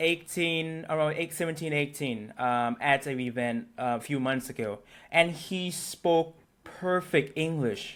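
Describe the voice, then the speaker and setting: On a very clean recording with a silent background, a man with a Thai accent talks at a fairly slow pace and a fairly high pitch. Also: ordinary pitch variation. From Thailand, Bangkok. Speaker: local interviewee. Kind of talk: casual interview chat. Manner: halting.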